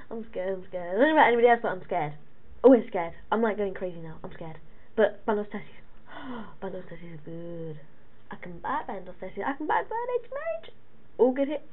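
Talking very fast with lively intonation and big swings in loudness, a woman leaves long, frequent pauses. Noticeable background noise runs beneath her. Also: medium pitch for a woman. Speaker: gaming youtuber. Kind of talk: live gameplay commentary. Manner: animated.

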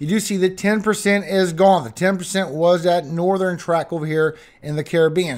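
Against a quiet background, a man talks at a high pitch with ordinary pitch variation. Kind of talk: weather update commentary.

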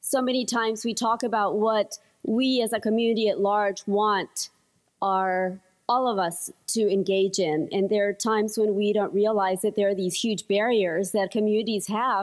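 Against a quiet background, a woman speaks at a moderate pace with very even loudness and fairly even intonation. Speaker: conference panelist. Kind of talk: conference presentation. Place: hall. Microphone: podium.

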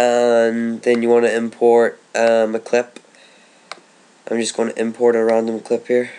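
Speaking at a fairly slow pace, a man with a medium pitch keeps a monotone, flat intonation. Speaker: gaming video tutorial maker. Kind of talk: tutorial. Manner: casual, hesitant with fillers.

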